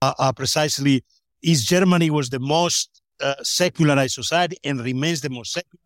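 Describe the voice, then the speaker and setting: Speaking at a moderate pace in a Spanish accent, a man with a fairly high pitch and ordinary pitch variation comes through dry and close with no echo. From Spain. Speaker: sociologist of religion. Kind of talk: academic interview.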